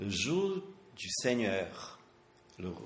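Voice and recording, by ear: A man's fairly low voice at a very slow pace, with big pitch swings and strong room echo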